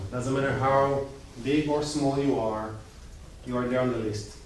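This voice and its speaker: A man with an Israeli accent speaks at a moderate pace with ordinary pitch variation. There is noticeable background noise and audible room echo. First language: Hebrew. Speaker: IT business owner. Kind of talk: presentation. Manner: casual.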